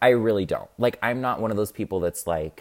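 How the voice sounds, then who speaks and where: A man speaks in an ordinary speaking voice. His pace is moderate, with ordinary pitch variation. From US Midwest, Illinois. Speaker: TikTok creator. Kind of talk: casual chat.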